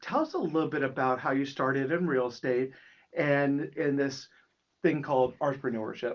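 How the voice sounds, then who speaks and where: The man's voice sits fairly high in pitch, with ordinary pitch variation. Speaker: podcast host. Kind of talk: interview. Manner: loud.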